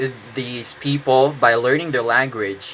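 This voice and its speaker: A man with a Filipino accent talks at a fairly slow pace and a medium pitch. Noticeable background noise is present. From Philippines. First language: Tagalog. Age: 20s. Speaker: English teacher. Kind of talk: casual monologue. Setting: indoors, own room. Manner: halting, many fillers.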